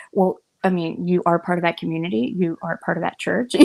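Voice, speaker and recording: Whispering, a soft-spoken woman goes at a fairly quick pace. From Cuban. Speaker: interfaith discussion guest. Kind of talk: casual chat. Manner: soft, near whispering.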